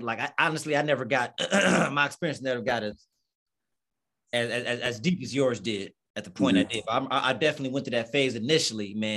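Here is a man with a plain, everyday voice at medium pitch. He moves at a fairly quick pace with ordinary pitch variation. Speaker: video podcast host.

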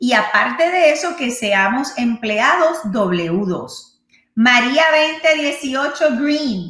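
In a Puerto Rican accent, a woman speaks at a high pitch with an animated tone and very wide pitch swings, and audible room echo surrounds her. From Puerto Rico. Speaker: real estate agent and live show host. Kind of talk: live stream Q&A. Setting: live stream.

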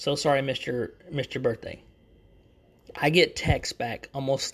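Fairly slow and fairly high in pitch, a man speaks with a bright, sharp tone. The recording is very clean, with a silent background. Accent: Texan. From Texas. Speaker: YouTuber and podcaster. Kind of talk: casual solo chat. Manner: talkative, rambling; casual, chatty.

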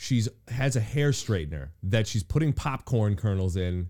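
A man's dark, mellow tone at a medium pitch, lively intonation and a moderate pace, in a very clean recording with a silent background. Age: 30s. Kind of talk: casual chat.

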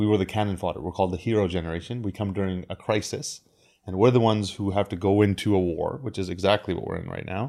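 Very fast and with fairly even intonation, a man speaks in a very clean recording with a silent background. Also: fairly low pitch for a man. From India. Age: 30s. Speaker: crypto advisor. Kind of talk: interview.

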